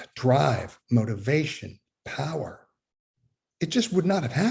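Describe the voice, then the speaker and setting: A man's fairly high voice with vocal fry and very wide pitch swings, at a fairly slow pace. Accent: American. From Fort Worth, Texas. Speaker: Methodist minister. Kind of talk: talk on faith.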